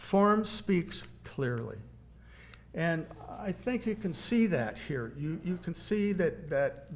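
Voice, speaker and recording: A somewhat breathy man with an American accent and lively intonation, at a very slow pace, with audible room echo. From Kansas (Wichita). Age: 70s. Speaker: painter. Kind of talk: lecture. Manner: halting.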